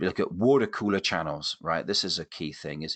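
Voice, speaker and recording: A man's very deep, low voice with lively intonation against a quiet background. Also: dry, close sound with no echo. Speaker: keynote speaker. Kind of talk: webinar presentation. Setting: online webinar. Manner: animated.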